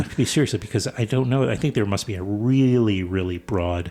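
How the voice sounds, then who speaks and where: Intonation is lively and the tone dark and mellow, on a very clean recording with a silent background. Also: man. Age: 60s. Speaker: radio host. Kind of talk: interview. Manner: halting, with repetitions.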